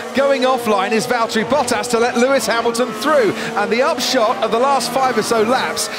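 Noticeable background noise sits under a man talking at a fairly quick pace, the sound dry with no echo. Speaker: lead race commentator. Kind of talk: commentary.

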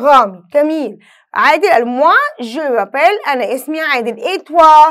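A woman with an Egyptian accent speaks at an extremely high pitch and a fairly slow pace. Her pitch swings very widely over a quiet background. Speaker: French teacher. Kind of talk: lesson. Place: studio.

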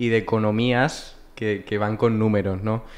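This man talks at a very slow pace. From Valencia region, Spain. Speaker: human resources graduate; podcast guest. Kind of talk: casual interview. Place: studio. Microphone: studio mic.

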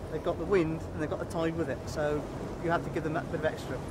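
Over loud background noise, a man talks at a very fast pace in a dry sound with no echo. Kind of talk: interview answer. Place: boat.

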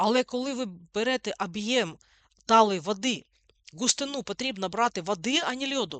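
This is an ordinary speaking voice from a woman, fairly high in pitch, with lively intonation. She keeps a moderate pace, and the sound is dry and close with no echo. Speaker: physics teacher. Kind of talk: school lesson. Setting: online lesson recording. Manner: instructive, informal.

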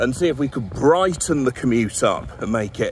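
Someone speaks at a moderate pace in a dry sound with no echo and light background noise. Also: man. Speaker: vlogger presenter. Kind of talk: casual vlog chat. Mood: wry, humorous. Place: street. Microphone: phone near.

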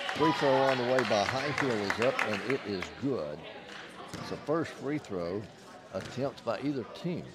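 With music in the background, a man talks at a fairly slow pace in an upbeat tone with lively intonation. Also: medium pitch for a man, dry sound with no echo. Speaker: basketball play-by-play announcer. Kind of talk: live sports commentary, play-by-play. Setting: broadcast from the arena. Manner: upbeat broadcaster energy, rattling off names and scores. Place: stadium. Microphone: headset.

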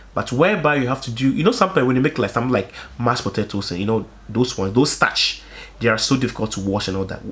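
A man at a very fast pace, animated in tone, with lively intonation. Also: medium pitch for a man. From Africa. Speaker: YouTuber. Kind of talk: casual monologue vlog. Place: home room.

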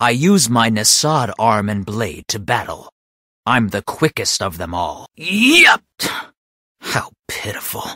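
A man puts on a character voice at medium pitch, using lively intonation at a fairly slow pace. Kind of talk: video game character voice lines. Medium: dub. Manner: intense, shouted battle cries.

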